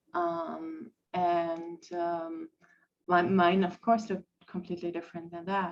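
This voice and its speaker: A woman with a German accent speaks at a fairly slow pace. Her voice sits fairly low, with fairly even intonation. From Germany. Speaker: podcast guest. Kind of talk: personal testimony in a podcast interview. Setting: live-streamed podcast. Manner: halting, many fillers.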